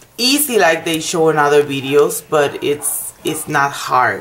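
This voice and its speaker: A woman with a non-native accent talks at a fairly slow pace amid noticeable background noise. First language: not English. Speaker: nail technician. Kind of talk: tutorial. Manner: halting.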